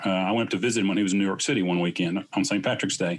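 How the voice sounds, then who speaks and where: A man with an American accent speaks very fast. His pitch is fairly low and his intonation fairly even. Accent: Southern US, varies. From US South, Southeast Tennessee. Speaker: clinician and business co-founder. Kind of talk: casual interview.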